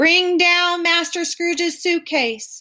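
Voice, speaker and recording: A woman shouts in a put-on character voice. Her pitch is extremely high. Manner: terrible, shouting.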